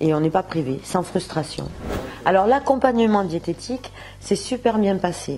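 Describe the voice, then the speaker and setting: Lively intonation from a woman at a fairly slow pace, over light background noise. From southern France, Montpellier. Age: 50s. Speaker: shopkeeper giving a diet testimonial. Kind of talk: testimony. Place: shop. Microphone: lapel.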